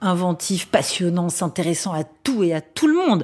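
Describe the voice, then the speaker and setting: A woman speaks with fairly low pitch and a dark, mellow tone in a very clean recording with a silent background. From Paris region, France (Vincennes). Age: 40s. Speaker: radio journalist and interviewer. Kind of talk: interview conversation. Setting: at home.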